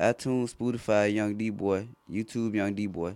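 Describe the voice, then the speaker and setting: Over a silent background in a very clean recording, a man with a Memphis accent speaks at a fairly low pitch with fairly even intonation. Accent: authentic South Memphis flow. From South Memphis, Tennessee. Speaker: rap artist. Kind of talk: casual interview. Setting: recording studio.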